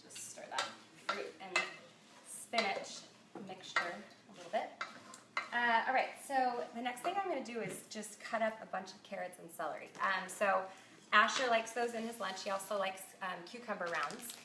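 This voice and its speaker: Amid noticeable background noise and audible room echo, a woman with a fairly high voice talks at a moderate pace with ordinary pitch variation, big swings in loudness, and long, frequent pauses. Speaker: cookbook author and food blogger. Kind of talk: cooking tutorial livestream. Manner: casual, many filler ums.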